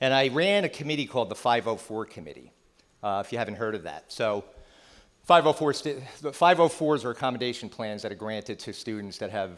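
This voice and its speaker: With a New Jersey accent, a man talks at a fairly quick pace, his intonation lively and his loudness swinging widely. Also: very clean recording, silent background. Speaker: psychotherapist and keynote speaker. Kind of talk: keynote talk. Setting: stage with audience. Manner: conversational.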